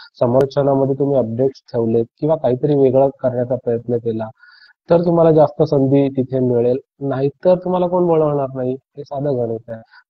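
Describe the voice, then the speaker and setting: A man talks with a somewhat breathy voice. His pitch is medium and his intonation fairly even. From Alibag, Maharashtra. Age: young. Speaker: cricket commentator. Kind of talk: interview answer.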